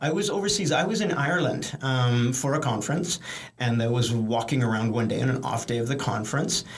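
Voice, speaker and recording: Over noticeable background noise and audible room echo, the speaker talks fairly quickly with lively intonation and very even loudness. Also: man, medium pitch for a man. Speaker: professor. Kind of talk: interview. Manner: fast; halting, many repetitions.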